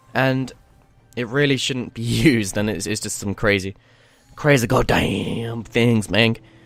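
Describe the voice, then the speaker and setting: Fairly slow speech with ordinary pitch variation, music in the background. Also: man, medium pitch for a man. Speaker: online video guest host. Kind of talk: casual topic discussion.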